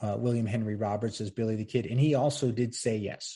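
A man with a medium pitch and a dark, mellow, somewhat breathy tone talks at a fairly quick pace with fairly even intonation against a quiet background. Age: 50s. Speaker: history podcast host. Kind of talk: solo commentary podcast. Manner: casual, conversational with laughs.

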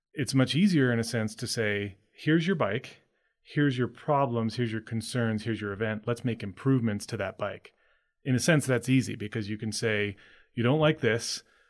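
In an ordinary speaking voice with an American accent, a man talks at a moderate pace and medium pitch with ordinary pitch variation, on a very clean recording with a silent background. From Maine, US. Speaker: bike fitter. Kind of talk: interview conversation.

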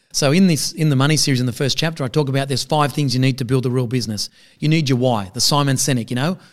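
A medium-pitched man at a very fast pace. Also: ordinary pitch variation. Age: 40s. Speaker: accountant and business advisor. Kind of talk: podcast interview.

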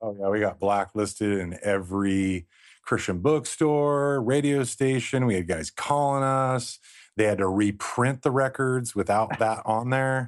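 With an American accent, a man speaks in a plain, everyday voice at a medium pitch with ordinary pitch variation against a quiet background. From Southern California coast. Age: 40s. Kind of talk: casual chat.

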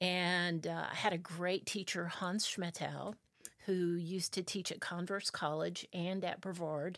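A woman with an American accent, fairly low in pitch, at a fairly slow pace, monotone and flat in intonation, in a very clean recording with a silent background. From South Carolina. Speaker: orchestra conductor and music teacher. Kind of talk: casual interview. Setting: studio.

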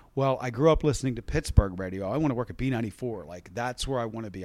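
A man with an American accent uses a plain, everyday voice at medium pitch, his intonation lively. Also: very clean recording, silent background. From West Virginia. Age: 40s. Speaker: radio DJ. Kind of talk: casual chat.

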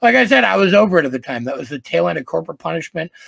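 This is a man speaking. He has an American accent. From Wisconsin, US Midwest. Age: 40s. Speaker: music executive. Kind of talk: casual interview. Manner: animated.

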